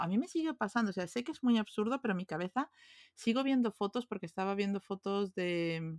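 Talking at a very fast pace with lively intonation, a woman at medium pitch is heard in a dry, close sound with no echo on a very clean recording with a silent background. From Peru and Venezuela (Lima, Caracas). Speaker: conference interpreter. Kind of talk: casual chat.

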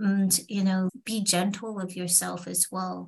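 Speaking at a fairly slow pace, a woman has a medium pitch, a somewhat breathy sound and fairly even intonation. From England. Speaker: confidence coach. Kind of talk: interview.

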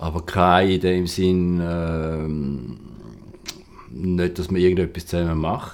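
A very deep, low male voice with fairly even intonation, a very slow pace and long, frequent pauses. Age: 50s. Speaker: self-employed photo lighting technician. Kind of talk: interview. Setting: his one-room flat, 13th floor.

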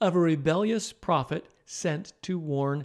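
In an ordinary speaking voice, a man talks at a fairly slow pace and fairly high pitch with ordinary pitch variation, on a very clean recording with a silent background. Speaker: Bible podcast host. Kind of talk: scripture audiobook narration, reverent and measured, reading poetic verses aloud. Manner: slow, solemn, steady pacing; calm, warm, instructive.

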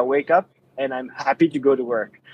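A man's fairly high voice with a French accent, fairly quick, in a dry, close sound with no echo. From France. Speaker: app company founder, sport physiotherapist. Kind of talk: podcast interview.

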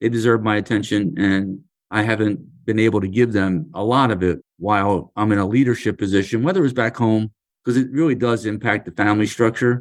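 An ordinary speaking voice with an American accent, a fairly quick pace and ordinary pitch variation against a quiet background. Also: man, fairly low pitch for a man. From US Northeast, Philadelphia. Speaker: union leader. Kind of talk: interview.

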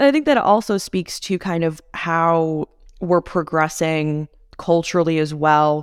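Recorded very cleanly against a silent background, a woman with an American accent has a plain, everyday voice, a fairly low pitch, ordinary pitch variation, and a fairly slow pace. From US Midwest (McHenry County, Illinois). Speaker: podcast host. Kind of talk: casual interview.

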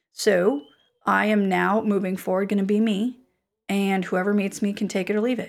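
A woman speaks in a normal speaking voice at a moderate pace. Her intonation is fairly even, on a very clean recording with a silent background. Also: medium pitch for a woman. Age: 30s. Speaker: career coach and podcaster. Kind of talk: casual chat.

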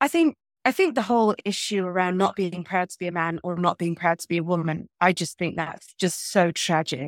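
A woman talks at a moderate pace in an English accent. The recording is very clean, with a silent background. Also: dry, close sound with no echo. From England. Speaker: historian and Bitcoin advocate. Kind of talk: interview conversation.

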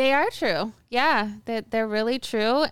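With an ordinary speaking voice, a woman talks at a fairly slow pace, her pitch fairly high with ordinary variation, on a very clean recording with a silent background. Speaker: event business owner. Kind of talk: casual chat. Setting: studio.

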